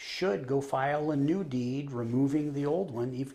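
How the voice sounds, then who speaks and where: A man speaks at a moderate pace with a fairly high pitch and a dark, mellow tone. His intonation is fairly even, and room echo is audible. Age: 50s. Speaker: trust officer. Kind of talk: interview.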